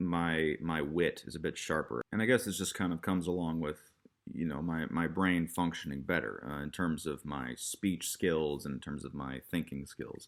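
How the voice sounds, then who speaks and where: With an American accent and vocal fry, a man speaks at a moderate pace in a very deep, low pitch with ordinary pitch variation. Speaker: YouTuber vlogger. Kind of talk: casual vlog monologue. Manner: halting, stop-and-start.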